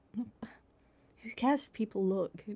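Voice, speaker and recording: Her voice is medium in pitch, with a dark, mellow tone and ordinary pitch variation, as this woman speaks. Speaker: ASMR creator doing a girlfriend roleplay. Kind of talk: girlfriend ASMR roleplay, casual talk to the listener. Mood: teasing, affectionate.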